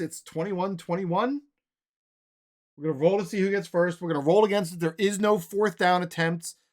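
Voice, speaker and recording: A loud man with a high pitch and ordinary pitch variation. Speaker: tabletop sports game streamer. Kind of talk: tabletop game play-by-play. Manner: casual thinking aloud.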